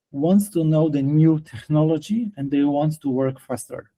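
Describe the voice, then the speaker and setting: At a fairly slow pace, a man with a Polish accent talks at a fairly high pitch with ordinary pitch variation. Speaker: detailing trainer and product distributor. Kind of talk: interview. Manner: halting.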